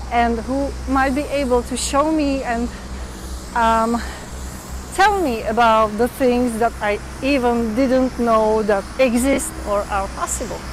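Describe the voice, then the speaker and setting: With a Czech accent, a woman speaks at a very slow pace in a high pitch with ordinary pitch variation, amid audible room echo and noticeable background noise. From Czech Republic. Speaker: vlogger. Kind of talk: live stream chat. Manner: halting, many fillers.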